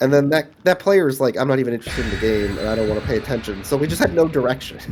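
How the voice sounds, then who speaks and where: A man with a medium-pitched voice talks at a very fast pace with lively intonation over noticeable background noise. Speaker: streamer. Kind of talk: casual chat. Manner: soft-spoken.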